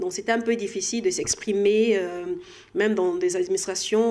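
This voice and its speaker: A woman speaks at a fairly slow pace, her medium pitch held in fairly even intonation. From DR Congo. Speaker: health sector professional. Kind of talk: interview. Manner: halting.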